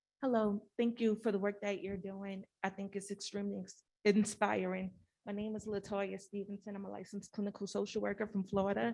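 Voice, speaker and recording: Soft-spoken and dark, mellow in tone, a woman talks at a medium pitch and a fairly quick pace, with hardly any pauses and monotone, flat intonation. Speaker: clinical social worker, audience questioner. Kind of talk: audience question. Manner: quiet, hard to hear.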